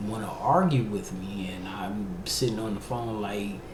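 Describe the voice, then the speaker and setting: Through noticeable background noise and audible room echo, a man speaks at a fairly low pitch. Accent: slight DC. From Washington DC, US East Coast. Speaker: podcast host. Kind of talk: personal testimony. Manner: halting.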